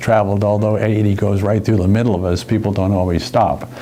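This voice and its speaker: Over music in the background, a man with a fairly low pitch speaks amid audible room echo. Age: 70s. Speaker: part-time wine courier. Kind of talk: casual personal reflection interview. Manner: halting, with hesitations and repeats.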